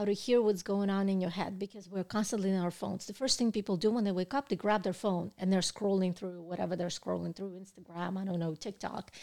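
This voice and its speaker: A woman at a medium pitch speaks at a very fast pace with hardly any pauses and fairly even intonation. Her tone is dark and mellow, and the recording is very clean with a silent background. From Russia. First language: Russian. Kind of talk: casual interview chat.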